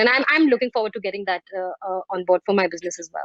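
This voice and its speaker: A woman with an Indian accent, very fast pace, and ordinary pitch variation. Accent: Indian accent, intact. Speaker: fine art photographer. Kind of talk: video panel interview.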